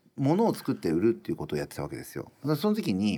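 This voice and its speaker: A man in a very clean recording against a silent background. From Japan, rural Iwate. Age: 50s. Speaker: restaurant owner. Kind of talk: interview.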